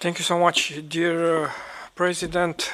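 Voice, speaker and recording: A man with a Romanian accent speaks at a fairly high pitch. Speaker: trade unionist. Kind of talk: meeting intervention. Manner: halting.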